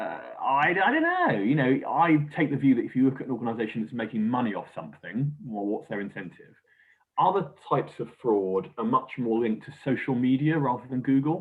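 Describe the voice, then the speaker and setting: British-accented speech from a man, fairly quick in pace. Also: medium pitch for a man, ordinary pitch variation. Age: young. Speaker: crime agency official. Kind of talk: interview. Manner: hesitant, many fillers.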